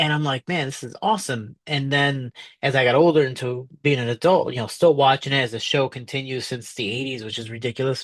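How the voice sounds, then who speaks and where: In a Chicago accent, a man talks at a moderate pace, the sound dry and close with no echo over a quiet background. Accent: Chicago American English. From Chicago, US (South Side). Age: 30s. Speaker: professional MMA fighter. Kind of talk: interview.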